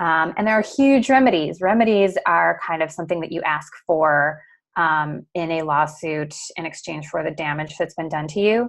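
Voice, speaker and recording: Lively intonation from a woman with an American accent, fairly low pitch and moderate pace, over a quiet background. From US Midwest, Detroit area. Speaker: lawyer. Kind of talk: webinar presentation. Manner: hesitant, many fillers.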